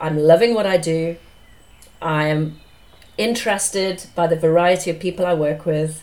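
A woman speaks at a fairly slow pace in a fairly low pitch, her intonation fairly even. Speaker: business psychologist and career coach, podcast host. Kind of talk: interview about own career, conversational. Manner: slightly nervous, chatty.

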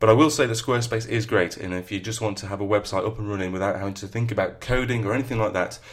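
A man with a northern English accent, very fast pace and fairly even intonation. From northern England. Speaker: podcast host and novelist. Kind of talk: solo podcast talk on writing.

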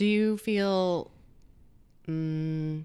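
In a very clean recording with a silent background, a woman speaks with ordinary pitch variation. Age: 40s. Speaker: podcast host. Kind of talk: casual interview.

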